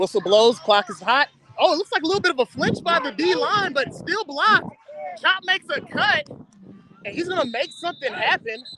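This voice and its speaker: Projecting a raised voice at an extremely high pitch, a man talks at a fairly quick pace with very wide pitch swings, the sound dry and close with no echo but with noticeable background noise. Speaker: youth football commentator. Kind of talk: live commentary. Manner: animated.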